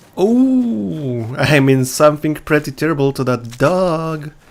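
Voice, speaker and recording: A man at a fairly high pitch and a very slow pace. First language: not English. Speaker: gaming video creator. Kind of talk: gameplay commentary. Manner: casual, with hesitations.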